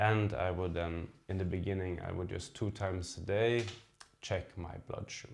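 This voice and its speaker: A man talks at a moderate pace with a non-native accent. His pitch is very deep and low, and his intonation fairly even. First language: not English. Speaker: diabetes vlogger. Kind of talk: personal vlog talk to camera. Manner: halting, with fillers and repeats.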